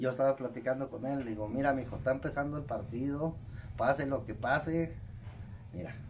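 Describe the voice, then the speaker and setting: The voice is somewhat breathy, moves at a fairly quick pace with fairly even intonation, and has light background noise behind it. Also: man. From Mexico, Zacatecas. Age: 40s. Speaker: saddle maker. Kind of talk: casual interview. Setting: workshop. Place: workshop. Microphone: phone near.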